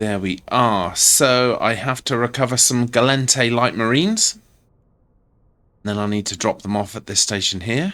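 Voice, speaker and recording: Fairly slow, bright, sharp speech from a man, with ordinary pitch variation, on a very clean recording with a silent background. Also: medium pitch for a man. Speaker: gaming video creator. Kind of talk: gameplay commentary. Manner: soft-spoken.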